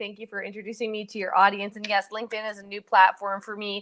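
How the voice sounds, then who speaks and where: Over a quiet background, a woman talks fairly quickly at medium pitch in an ordinary speaking voice. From western Canada. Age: 30s. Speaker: entrepreneur. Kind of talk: interview.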